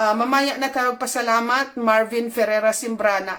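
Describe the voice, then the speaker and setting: Here a woman talks at a moderate pace. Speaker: channel host, commentator. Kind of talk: online commentary video. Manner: emotional, agitated.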